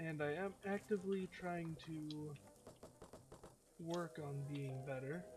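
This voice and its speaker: Soft-spoken, a man talks at a very slow pace with long, frequent pauses, a fairly high pitch and fairly even intonation. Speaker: gaming video commentator. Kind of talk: let's play commentary. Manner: hesitant, many filler words.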